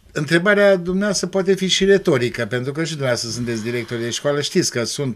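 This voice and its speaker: A man with an unremarkable speaking voice uses lively intonation at a fairly high pitch. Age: 60s. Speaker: school principal; guest. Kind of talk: TV interview. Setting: TV studio. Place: studio. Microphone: studio mic.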